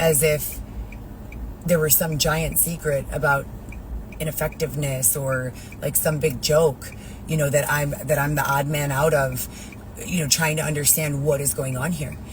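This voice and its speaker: The speech is broken by long, frequent pauses. Noticeable background noise runs throughout. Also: moderate pace. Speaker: vlogger. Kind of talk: personal vlog.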